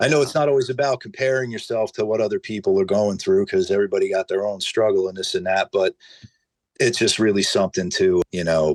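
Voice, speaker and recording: A New Jersey accent in a dry, close sound with no echo. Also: man. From northern New Jersey. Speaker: hot sauce maker. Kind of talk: casual chat.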